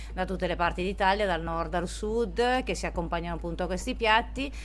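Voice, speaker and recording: Music in the background and audible room echo around a woman's voice. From northern Italy, Domodossola. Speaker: sommelier and restaurant co-owner. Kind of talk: interview. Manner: hesitant, many fillers.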